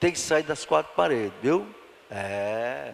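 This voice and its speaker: A man is speaking. His pitch swings very widely. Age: 70s. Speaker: pastor. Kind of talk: Bible study sermon. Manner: animated.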